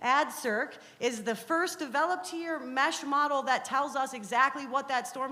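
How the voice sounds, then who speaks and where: A woman projects a raised, high-pitched voice with a bright, sharp tone. She speaks with ordinary pitch variation and hardly any pauses. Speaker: university researcher. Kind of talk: presentation. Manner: fast.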